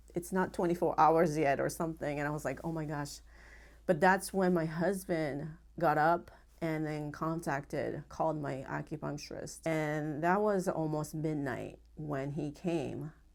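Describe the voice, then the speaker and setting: Over a silent background in a very clean recording, a woman with a Japanese accent talks in a very deep, low pitch with vocal fry and fairly even intonation. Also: fairly slow pace. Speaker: acupuncturist. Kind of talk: interview testimony. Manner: halting.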